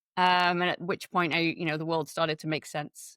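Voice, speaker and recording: Speaking at a moderate pace with an English accent, a woman's fairly low voice comes through dry and close with no echo on a very clean recording with a silent background. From England. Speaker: web accessibility consultant. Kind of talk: interview.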